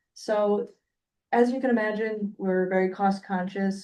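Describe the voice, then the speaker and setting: A woman's dark, mellow tone with fairly even intonation. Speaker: utility company representative. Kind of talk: presentation at public meeting. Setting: hybrid meeting room. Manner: soft-spoken. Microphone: weak microphone, too quiet.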